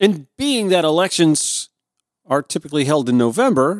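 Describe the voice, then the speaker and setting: A man with an American accent speaks at a moderate pace in an unremarkable speaking voice, his pitch fairly high for a man and his intonation lively. The recording is very clean with a silent background, and the sound is dry and close with no echo. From US South, Augusta, Georgia. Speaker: radio host. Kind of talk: political commentary. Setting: home studio.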